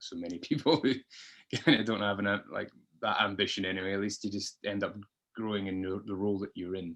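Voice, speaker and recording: A man with a Scottish accent at a very fast pace, over a quiet background. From Scotland, Dundee. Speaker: podcast guest. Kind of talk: interview, personal story. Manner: hesitant, many fillers.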